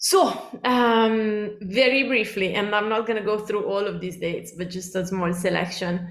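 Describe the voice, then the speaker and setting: With an Italian accent, a woman talks at a moderate pace and medium pitch, showing ordinary pitch variation against audible room echo. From Italy. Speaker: cookbook author. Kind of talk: lecture. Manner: many fillers (um, uh).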